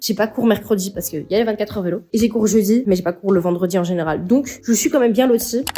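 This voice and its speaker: A woman with a medium pitch speaks at a very fast pace. She leaves hardly any pauses. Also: ordinary pitch variation. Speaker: university student vlogger. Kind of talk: casual vlog. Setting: outdoors walking. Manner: animated.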